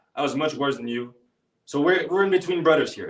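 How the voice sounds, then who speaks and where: A man's fairly high-pitched voice with an energetic, animated tone. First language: not English. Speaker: public speaking coach. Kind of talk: live online workshop coaching. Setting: live video call workshop.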